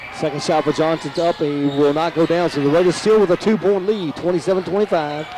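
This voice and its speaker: Against noticeable background noise, a man with an American accent and a high pitch talks very fast with hardly any pauses, very even loudness and fairly even intonation. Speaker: play-by-play announcer. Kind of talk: live sports commentary.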